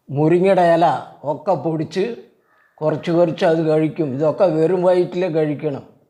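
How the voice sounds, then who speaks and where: Here a man speaks with a fairly high pitch and a dark, mellow tone. His intonation is fairly even and his loudness very even. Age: 80s+. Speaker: elderly father demonstrating exercise. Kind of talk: tutorial. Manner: halting.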